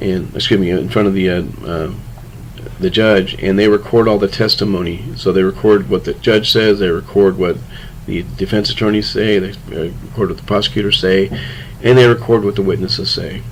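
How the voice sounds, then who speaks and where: Audible room echo and noticeable background noise surround speech at a fairly quick pace with ordinary pitch variation. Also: man, fairly low pitch for a man. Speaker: criminal justice instructor. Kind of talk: lecture. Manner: fast.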